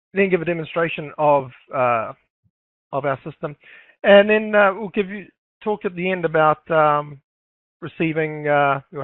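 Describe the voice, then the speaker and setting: A man with a New Zealand accent speaks at a moderate pace with ordinary pitch variation. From New Zealand, Auckland. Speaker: forex trader and educator. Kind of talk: webinar presentation. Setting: live online webinar. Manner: halting, many fillers.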